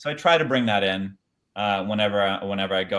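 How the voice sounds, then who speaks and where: A man speaks in a fairly low voice. His pitch varies in an ordinary way. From Brazil, raised in Chile. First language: Portuguese. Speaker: actor. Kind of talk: casual chat.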